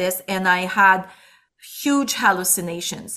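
A woman speaks at a moderate pace in a bright, sharp tone. The recording is very clean, with a silent background. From Quebec City, Quebec. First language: French. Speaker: pastor and musician. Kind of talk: interview.

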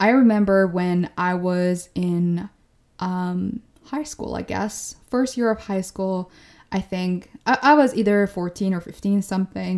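An ordinary speaking voice from a woman, medium in pitch with ordinary pitch variation and a fairly slow pace, in a very clean recording with a silent background. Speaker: podcast host. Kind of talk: solo monologue podcast episode, casual and encouraging. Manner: casual, conversational, laughs often.

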